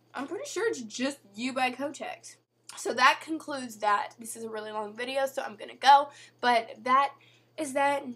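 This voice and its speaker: With big swings in loudness, a woman speaks in a high pitch and a bright, sharp tone. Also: ordinary pitch variation, moderate pace. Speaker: video blogger. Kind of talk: casual vlog advice talk.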